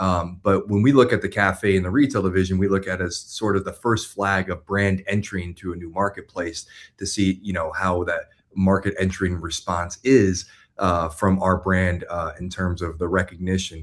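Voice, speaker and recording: Over a quiet background, a man with a Florida accent speaks at a moderate pace in a very deep, low pitch with fairly even intonation. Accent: American, Florida. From US, Florida (West Palm Beach). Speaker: business executive. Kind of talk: interview. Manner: hesitant, many fillers.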